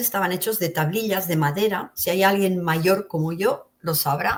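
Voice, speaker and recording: Speaking at a moderate pace with ordinary pitch variation, a woman has an unremarkable speaking voice. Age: 60s. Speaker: interview guest sharing near-death experiences. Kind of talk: testimony.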